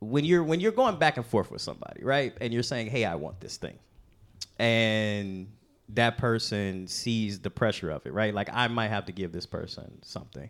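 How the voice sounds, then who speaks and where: Speaking at a moderate pace with an American accent, a man uses lively intonation in a plain, everyday voice of medium pitch. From Chicago. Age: 30s. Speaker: comedian. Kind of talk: casual chat.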